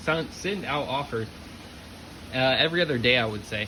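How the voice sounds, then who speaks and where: With noticeable background noise and audible room echo, a man speaks at a fairly quick pace and a fairly high pitch. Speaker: eBay reseller, YouTuber. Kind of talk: casual vlog. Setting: garage. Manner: casual, filler words.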